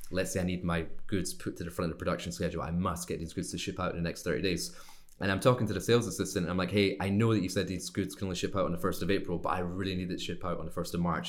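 A man speaks at a very fast pace in a very deep, low voice. Audible room echo can be heard. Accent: Scottish. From Scotland. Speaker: sourcing and manufacturing consultant. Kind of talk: interview. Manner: casual, conversational.

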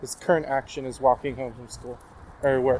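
A man's fairly high-pitched voice comes through with noticeable background noise. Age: 20s. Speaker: podcast host. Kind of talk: casual monologue. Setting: outdoors, walking.

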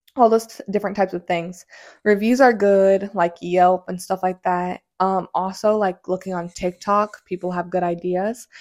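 A woman of medium pitch with an American accent, in a very clean recording against a silent background. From Indiana, US Midwest. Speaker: podcast host. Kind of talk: casual solo monologue. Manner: fast.

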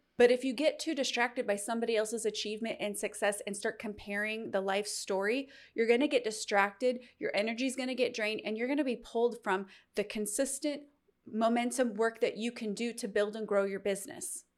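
A normal speaking voice, fairly even intonation and a fairly quick pace, on a very clean recording with a silent background. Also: woman, fairly high pitch for a woman. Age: 40s. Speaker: podcast host and faith-based business coach. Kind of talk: motivational monologue.

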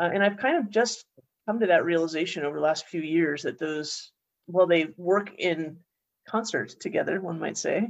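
In an unremarkable speaking voice, a woman talks at a moderate pace with a fairly low pitch and ordinary pitch variation. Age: 40s. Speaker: podcast host. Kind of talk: casual chat.

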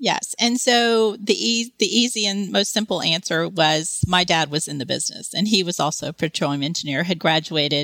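Using a Texan accent and lively intonation, a woman with a fairly low, bright, sharp voice keeps a moderate pace in a very clean recording with a silent background. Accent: Texan American. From Texas. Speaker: career coach. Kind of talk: interview.

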